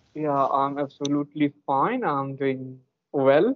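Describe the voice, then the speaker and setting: Fairly high in pitch, a man with an Indian accent speaks with fairly even intonation. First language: an Indian language. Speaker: English learner and youtuber; youtuber. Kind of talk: casual chat. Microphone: video call.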